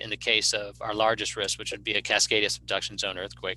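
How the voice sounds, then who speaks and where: Bright and sharp in tone, a man's fairly low voice moves at a fairly quick pace with vocal fry. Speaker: emergency management director. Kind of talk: presentation. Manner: fast; halting.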